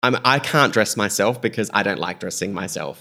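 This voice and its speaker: This man talks at a moderate pace with an Australian accent and a bright, sharp tone. The recording is very clean, with a silent background. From South Australia, Greek-Australian family. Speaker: fashion stylist. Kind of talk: casual interview chat. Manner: animated.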